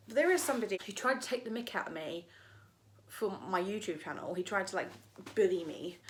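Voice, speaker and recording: A woman with a London accent talks at a very fast pace over noticeable background noise. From East London, England. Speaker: YouTuber. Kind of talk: opinion rant vlog. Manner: animated.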